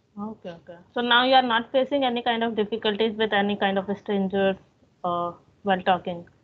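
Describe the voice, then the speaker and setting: Speaking at a very fast pace, a woman with an Indian accent keeps her intonation fairly even. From India, Bhopal. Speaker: English teaching YouTuber. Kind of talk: casual chat. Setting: phone call. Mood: friendly, relaxed, smiling. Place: home room. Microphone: video call.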